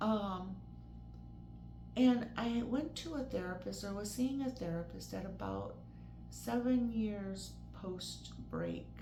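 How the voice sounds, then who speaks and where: Against background music and audible room echo, a woman talks at a very slow pace with long, frequent pauses. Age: 60s. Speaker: vlogger sharing mental illness experience. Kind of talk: personal testimony. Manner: casual, hesitant with fillers.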